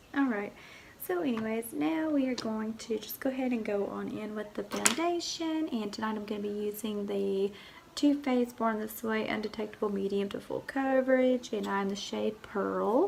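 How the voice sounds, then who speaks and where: With ordinary pitch variation, the voice moves at a moderate pace against noticeable background noise. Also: woman. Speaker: beauty vlogger. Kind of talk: makeup tutorial. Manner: casual, chatty.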